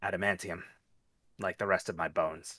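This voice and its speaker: This put-on character voice is raspy and fairly quick. The recording is very clean, with a silent background. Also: man. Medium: actual play. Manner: terse, dry.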